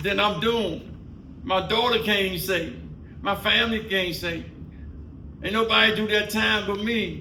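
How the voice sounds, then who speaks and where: A man's raised, projected voice with an American accent, high in pitch with fairly even intonation, at a moderate pace with long, frequent pauses, with audible room echo and noticeable background noise. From Washington, D.C. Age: 60s. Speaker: podcast co-host. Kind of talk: casual chat.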